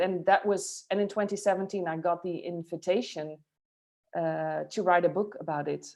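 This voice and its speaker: A woman with a Dutch accent, fairly even intonation and a moderate pace. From Netherlands, Friesland. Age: 40s. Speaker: futurist and author. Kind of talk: interview. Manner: halting, many fillers.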